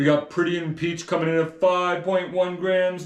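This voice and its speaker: Using a put-on character voice, a man speaks at a high pitch and a moderate pace with monotone, flat intonation. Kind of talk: announcer style. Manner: showy, hyped.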